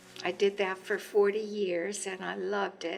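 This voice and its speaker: A woman speaks at a medium pitch with vocal fry. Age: 70s. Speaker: retired physical therapist and community volunteer. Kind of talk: documentary interview.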